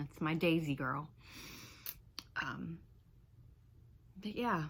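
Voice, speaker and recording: The pace is fairly slow. The speaker has an American accent. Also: woman. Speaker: vlogger, civil engineer. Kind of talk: personal vlog, venting. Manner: halting.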